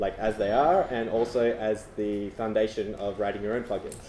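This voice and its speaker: Over noticeable background noise, a man speaks at a moderate pace with audible room echo. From Australia. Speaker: tech conference speaker. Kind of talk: presentation to meetup audience. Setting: stage with audience. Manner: casual, many fillers.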